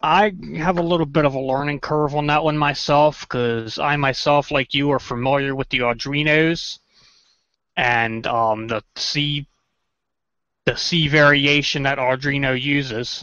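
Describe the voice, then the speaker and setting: A man with a Maryland accent, fairly high-pitched, at a fairly slow pace with fairly even intonation. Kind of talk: everyday conversational.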